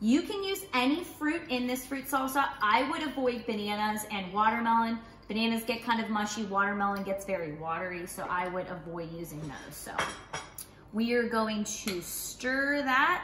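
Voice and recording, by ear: A woman's fairly high, fairly bright voice with lively intonation at a moderate pace, plus audible room echo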